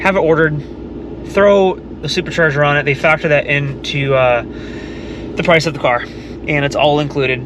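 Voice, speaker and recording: A man's fairly high-pitched voice comes through with noticeable background noise around it. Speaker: car vlogger. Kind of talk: casual vlog talk. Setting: in a car.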